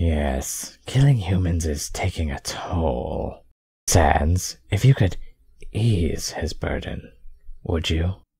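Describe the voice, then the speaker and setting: In a cartoonish character voice, the speaker talks at a very slow pace with a very deep, low pitch. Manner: clipped, businesslike, quietly cold.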